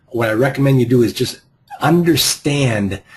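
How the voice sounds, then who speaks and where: A man speaks with a Boston accent in a somewhat breathy voice. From US Northeast, Boston. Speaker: real estate investing coach. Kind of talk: group coaching call. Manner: halting, frequent repeated words.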